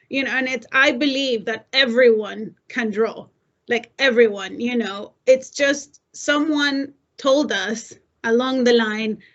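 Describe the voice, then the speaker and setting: Very slowly, a woman speaks in a high voice with fairly even intonation. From El Salvador. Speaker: designer. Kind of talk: panel discussion.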